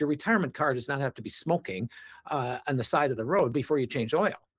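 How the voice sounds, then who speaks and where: Heard here is a man with an American accent, a normal speaking voice and fairly high pitch, his intonation lively. The sound is dry and close with no echo, a very clean recording with a silent background. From US Midwest, Wisconsin. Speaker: reverse mortgage specialist and author. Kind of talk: interview.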